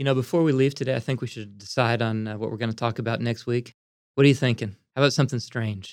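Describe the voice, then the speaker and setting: Speaking at a very fast pace, a man uses a medium pitch and fairly even intonation. The recording is very clean, with a silent background. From US Northeast, Pennsylvania (Pottstown near Philadelphia). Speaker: botanical garden director and podcast host. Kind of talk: casual educational chat.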